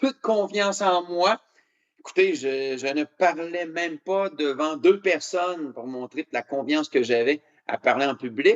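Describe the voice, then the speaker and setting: Speaking fairly slowly, a man with a Canadian French accent has a fairly high pitch. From Canada (Quebec). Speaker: motivational speaker. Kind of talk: keynote speech. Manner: hesitant with many fillers.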